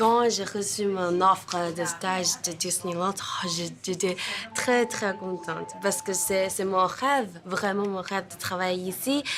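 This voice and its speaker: Very slow speech in a Chinese accent with ordinary pitch variation, over noticeable background noise. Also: woman, medium pitch for a woman. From China. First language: Chinese (speaking French). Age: 20s. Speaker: hotel intern. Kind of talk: interview. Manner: halting.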